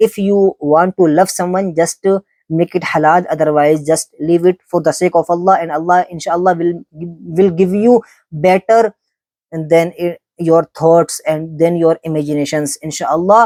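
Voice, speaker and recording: This speaker talks at a moderate pace with a Pakistani accent. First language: Urdu. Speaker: Islamic speaker. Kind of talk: religious talk. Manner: halting.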